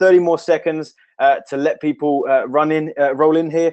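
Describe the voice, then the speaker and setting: In a quiet background, a man speaks at a fairly high pitch. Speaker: online marketing trainer. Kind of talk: live webinar training. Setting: home office. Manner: fast; animated. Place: office. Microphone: webcam.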